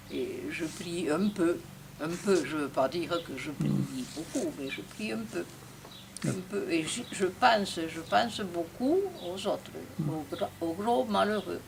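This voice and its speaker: Over noticeable background noise, a woman with a fairly low pitch and lively intonation speaks very slowly, leaving long, frequent pauses. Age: 80s+. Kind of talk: interview answer.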